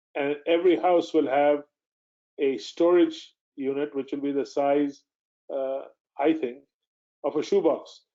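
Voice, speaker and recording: A man's fairly high, monotone voice with flat intonation, a fairly slow pace and long, frequent pauses. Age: 60s. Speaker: mining company executive. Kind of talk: investor presentation. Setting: webinar. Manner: halting, many fillers.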